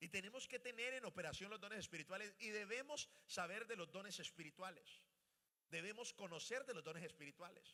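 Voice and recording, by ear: A man's high-pitched voice with a bright, sharp tone, ordinary pitch variation and a fairly quick pace.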